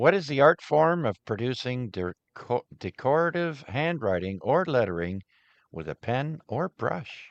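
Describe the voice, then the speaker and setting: In a French Canadian accent, a man with a medium pitch speaks at a fairly slow pace with very wide pitch swings, recorded with a dry, close sound with no echo against a quiet background. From Ottawa-Gatineau Valley, Canada. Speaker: amateur radio net controller. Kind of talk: radio net trivia hosting. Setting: amateur radio broadcast with YouTube stream.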